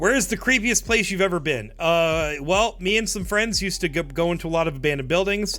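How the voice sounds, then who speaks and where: A high-pitched man speaks with an American accent and ordinary pitch variation. He talks very fast with hardly any pauses. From New Jersey. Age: 20s. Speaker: streamer. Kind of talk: live stream Q&A, reading chat questions. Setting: live stream. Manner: casual, filler-heavy with false starts.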